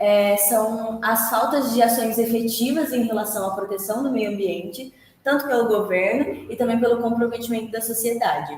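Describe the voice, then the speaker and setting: Her pitch fairly high, a woman talks at a moderate pace with hardly any pauses, with audible room echo and noticeable background noise. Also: ordinary pitch variation. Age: 20s. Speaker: university student. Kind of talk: student presentation. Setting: presentation to group members. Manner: hesitant, with many filler sounds.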